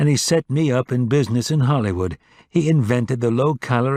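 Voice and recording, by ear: Someone is reading aloud in a natural voice. Their pitch variation is ordinary.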